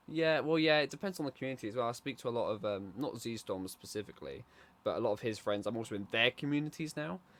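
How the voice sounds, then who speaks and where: The speaker has a British accent. The pace is very fast. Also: man. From Britain. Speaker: podcast co-host. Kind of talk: casual chat. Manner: quiet, calm.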